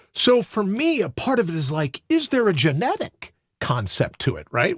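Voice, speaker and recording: Over a very clean recording with a silent background, a man speaks with vocal fry and very wide pitch swings. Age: 60s. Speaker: suicide prevention advocate. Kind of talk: interview conversation. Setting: studio.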